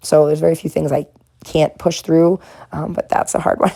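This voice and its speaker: A woman with an American accent. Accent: Boston accent, mostly reduced. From Boston area, US. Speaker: art content creator. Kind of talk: casual narration while painting. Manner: relaxed, hesitant with fillers.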